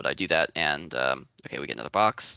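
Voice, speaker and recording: Vocal fry runs through this man's voice. He talks at a fairly quick pace. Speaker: student workshop presenter. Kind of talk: tutorial. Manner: hesitant, many fillers.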